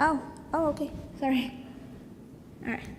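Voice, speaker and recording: Noticeable background noise and audible room echo fill the recording. The intonation stays fairly even. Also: woman. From Colombia. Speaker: design student presenting a project. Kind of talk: conference presentation. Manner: hesitant, many fillers.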